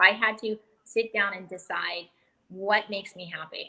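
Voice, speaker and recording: A woman at a medium pitch speaks in an animated tone. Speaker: fitness educator and executive. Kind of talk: interview on a live stream. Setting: live video stream. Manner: fast.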